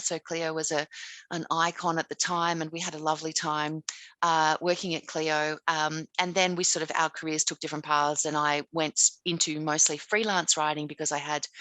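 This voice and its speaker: With an Australian accent, a woman speaks at a fairly quick pace. Her pitch is very deep and low. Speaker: author and writing teacher. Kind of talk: casual interview. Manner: hesitant, with many fillers.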